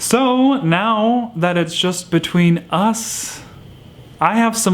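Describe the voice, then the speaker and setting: With music in the background, a speaker with an American accent talks at a very slow pace. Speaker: houseplant YouTuber. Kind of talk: monologue to camera. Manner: stutters at times.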